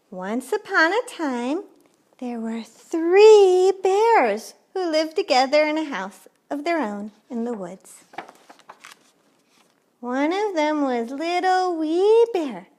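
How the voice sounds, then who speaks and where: A woman's high voice with very wide pitch swings, at a very slow pace with long, frequent pauses. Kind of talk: bedtime story. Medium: read story. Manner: warm, cheerful.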